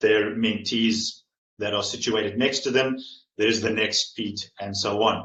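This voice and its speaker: A man with a medium pitch speaks at a fairly slow pace, his tone bright and sharp. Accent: South African. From South Africa. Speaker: staff in residence, PhD candidate. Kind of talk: conference presentation.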